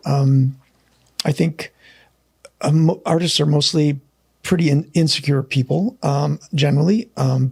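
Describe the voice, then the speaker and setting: At a fairly slow pace with long, frequent pauses, a somewhat breathy man with an American accent speaks with very even loudness and ordinary pitch variation in a dry, close sound with no echo. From United States. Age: 60s. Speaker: painter and art school founder. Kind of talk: casual chat. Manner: halting.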